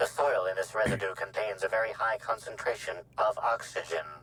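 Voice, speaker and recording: A man uses a put-on character voice. He talks at a fairly quick pace. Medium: video game. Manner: precise, formal, matter-of-fact.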